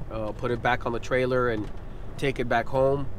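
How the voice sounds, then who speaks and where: A man speaks with monotone, flat intonation. The sound is dry with no echo, with light background noise. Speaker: fishing vlogger. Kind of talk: casual vlog chat. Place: car. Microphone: phone near.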